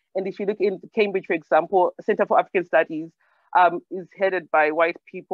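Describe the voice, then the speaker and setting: The speaker has a Zimbabwean accent. The pace is very fast. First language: Shona. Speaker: storyteller and discussion participant. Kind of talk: Q&A discussion. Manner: halting, many fillers.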